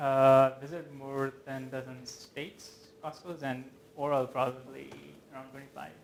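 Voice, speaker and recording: A man with a medium pitch speaks in monotone, flat intonation at a moderate pace, with big swings in loudness and audible room echo. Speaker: software engineer. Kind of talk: lecture.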